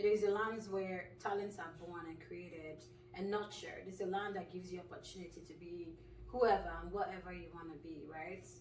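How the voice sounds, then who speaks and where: Over noticeable background noise and audible room echo, a woman talks at a fairly quick pace with fairly even intonation and big swings in loudness. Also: medium pitch for a woman. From Nigeria. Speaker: clinical pharmacist. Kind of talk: casual interview.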